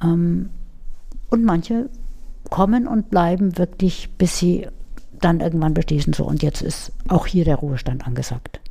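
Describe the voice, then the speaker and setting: Lively intonation colors a dark, mellow tone. The pace is moderate. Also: woman. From Munich, Bavaria. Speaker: head of a telephone crisis counselling service. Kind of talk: interview.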